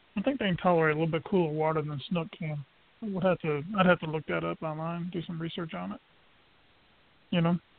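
The speech runs at a very fast pace. Long pauses break it up often. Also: man, high pitch for a man, ordinary pitch variation. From coastal Georgia (Brunswick). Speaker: angler. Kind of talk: casual chat.

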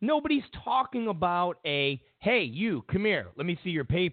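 A man with a high pitch speaks in an animated tone at a moderate pace, his voice making very wide pitch swings. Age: 40s. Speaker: political talk show host. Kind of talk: political commentary talk show. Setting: studio.

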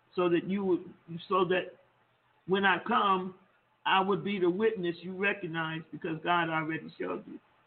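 A high-pitched man keeps a moderate pace and fairly even intonation, breaking his speech with long, frequent pauses. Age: 70s. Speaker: pastor. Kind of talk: sermon. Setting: phone call.

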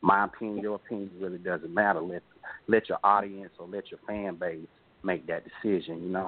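A man with a Georgia accent talks at a fairly quick pace and a fairly low pitch. His intonation stays monotone and flat, with big swings in loudness. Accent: Southern US, Georgia. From Warner Robins, Georgia. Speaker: indie rapper. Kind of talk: radio interview.

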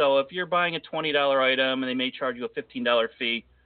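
A fairly high-pitched man at a moderate pace, with music in the background. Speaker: radio host. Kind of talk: solo podcast rant and news update. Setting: online radio show. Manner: casual, conversational.

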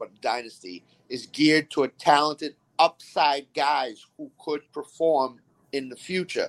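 A man speaks with a fairly high pitch and ordinary pitch variation. The sound is dry and close with no echo. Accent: Boston. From Boston. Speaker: fantasy football player. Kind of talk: casual chat.

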